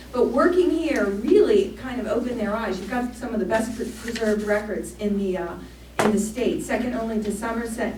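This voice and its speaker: A woman's medium-pitched voice amid audible room echo and noticeable background noise. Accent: American. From Maryland, US. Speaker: archaeologist. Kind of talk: public lecture. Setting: church hall with audience. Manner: fast.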